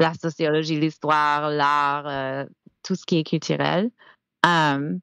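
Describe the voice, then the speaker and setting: Against a quiet background, a woman with a very deep, low pitch speaks at a very slow pace with fairly even intonation. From US South, Georgia. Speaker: francophone studies scholar and teacher. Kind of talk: podcast interview. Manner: halting, many fillers.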